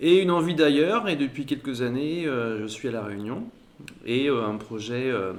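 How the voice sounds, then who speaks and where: A man in a normal speaking voice talks at a fairly slow pace with ordinary pitch variation. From Saint-Nazaire, western France. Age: 40s. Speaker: crêperie owner and logistics trainer. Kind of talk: interview podcast.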